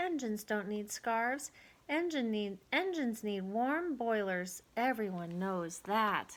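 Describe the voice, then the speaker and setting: A woman's put-on character voice, fairly high in pitch and at a fairly slow pace. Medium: read story.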